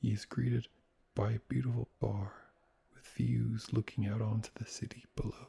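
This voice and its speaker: A soft-spoken man talks fairly slowly at a medium pitch. His tone is dark and mellow, and somewhat breathy. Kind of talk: sleep story.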